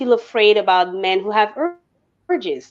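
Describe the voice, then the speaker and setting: Speech moves at a fairly quick pace with lively intonation. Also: woman. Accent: French. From France. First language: French. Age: 30s. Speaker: viewer joining a live stream. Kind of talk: casual discussion. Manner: halting.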